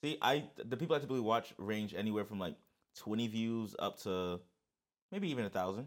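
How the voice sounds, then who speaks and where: A man with a New York accent speaks at a fairly quick pace in an animated tone and a medium pitch, on a very clean recording with a silent background. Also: ordinary pitch variation. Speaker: podcast co-host. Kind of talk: casual chat.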